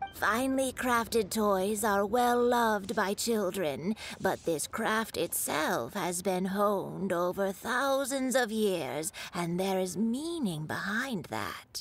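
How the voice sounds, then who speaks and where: A woman performs a put-on character voice at medium pitch with lively intonation. She speaks at a fairly slow pace with hardly any pauses. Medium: fan dub.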